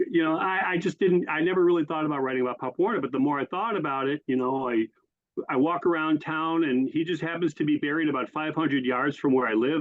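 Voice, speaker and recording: A man's fairly high voice with an American accent at a very fast pace. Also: ordinary pitch variation. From western New York (Springville). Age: 60s. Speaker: author and football historian. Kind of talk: interview.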